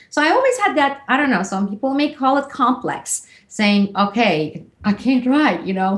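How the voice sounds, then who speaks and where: The voice moves at a moderate pace, its pitch swinging very widely while its loudness stays very even. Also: woman, high pitch for a woman. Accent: Turkish. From Turkey. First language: Turkish. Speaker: author. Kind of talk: interview.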